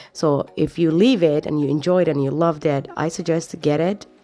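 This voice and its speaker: Her pitch is very deep and low, with ordinary variation. Music sits behind this woman's voice. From East Africa (Somalia, Kenya). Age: 40s. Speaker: lifestyle vlogger. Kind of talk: voiceover narration for a cleaning vlog. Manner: casual, chatty.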